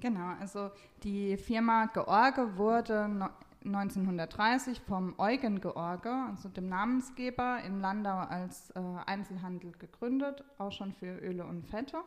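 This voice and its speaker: The speech goes at a very slow pace. Its pitch varies in an ordinary way. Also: woman, medium pitch for a woman. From Palatinate, Germany. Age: 20s. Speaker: family business manager. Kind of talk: interview. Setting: studio.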